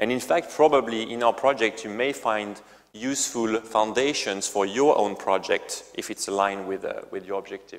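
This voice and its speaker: A man with a strong French accent, medium in pitch, at a moderate pace. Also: ordinary pitch variation. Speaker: company CEO. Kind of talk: presentation. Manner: halting, many fillers and repetitions.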